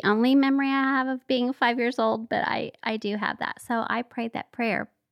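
Speaking in a high pitch with an American accent, a woman keeps a moderate pace and ordinary pitch variation on a very clean recording with a silent background and a dry, close sound with no echo. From Oklahoma, Tulsa. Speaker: homemaker and former flight attendant. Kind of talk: testimony.

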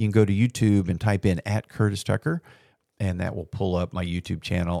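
At a moderate pace, a man speaks with a very deep, low voice and fairly even intonation, recorded very cleanly with a silent background and a dry, close sound with no echo. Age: 50s. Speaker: solo podcaster. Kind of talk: solo monologue sharing life advice. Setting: home recording on video. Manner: casual with many fillers.

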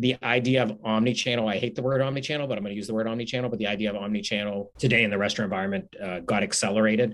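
Over noticeable background noise, a man with an American accent talks very fast at a fairly low pitch. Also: fairly even intonation, hardly any pauses. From Pittsburgh, Pennsylvania. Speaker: restaurant chain executive. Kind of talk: interview.

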